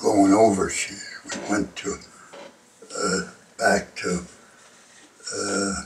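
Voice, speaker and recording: A man with a Canadian accent, speaking at a very slow pace over noticeable background noise. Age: 90s. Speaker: war veteran. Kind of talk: interview.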